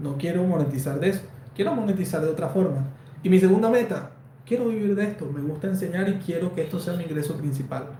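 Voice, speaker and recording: A high-pitched man at a very fast pace with ordinary pitch variation, plus audible room echo and noticeable background noise. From Colombia, Valledupar. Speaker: embroidery designer and online teacher. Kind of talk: live stream Q&A. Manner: conversational, with fillers.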